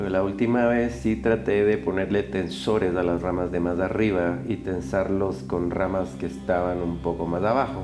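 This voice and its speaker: Over music in the background and audible room echo, a man with a very deep, low pitch talks at a moderate pace with hardly any pauses. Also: lively intonation. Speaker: bonsai grower. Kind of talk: tutorial narration. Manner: listless.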